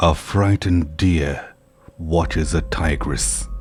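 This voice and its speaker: Music plays in the background as a man speaks at a very slow pace. His very deep, low pitch carries lively intonation. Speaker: horror story narrator. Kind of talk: horror story narration.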